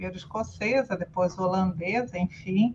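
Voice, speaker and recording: The speaker is a woman with a somewhat breathy voice. Her pitch is medium, with ordinary variation. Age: 50s. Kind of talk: casual chat.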